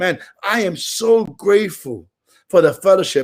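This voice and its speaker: A man's loud, animated, high-pitched voice. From Brooklyn, New York (Puerto Rican). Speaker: recovery meeting speaker. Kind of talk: recovery share.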